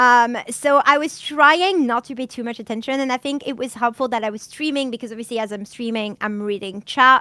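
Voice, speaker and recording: Very clean recording with a silent background: a woman in a French accent, high-pitched with a bright, sharp tone, at a fairly quick pace with hardly any pauses and big swings in loudness. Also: ordinary pitch variation. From France. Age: 30s. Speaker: streamer. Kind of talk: casual podcast chat.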